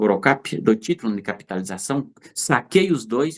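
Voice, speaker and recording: The pitch moves in very wide swings. The pace is fairly slow. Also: man. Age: 60s. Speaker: fruit and vegetable business owner. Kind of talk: interview storytelling. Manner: animated, hesitant repetitions.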